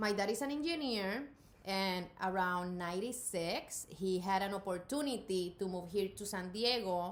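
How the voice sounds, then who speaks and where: With a slight Puerto Rican accent, the speaker talks at a moderate pace with ordinary pitch variation in a room with audible echo. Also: woman. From Puerto Rico. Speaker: artist and college professor. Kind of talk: interview.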